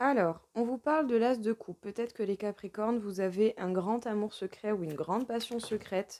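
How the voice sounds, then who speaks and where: A woman speaks at a fairly high pitch with a dark, mellow tone, ordinary pitch variation and a moderate pace, in a dry, close sound with no echo. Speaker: tarot reader. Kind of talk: tarot reading.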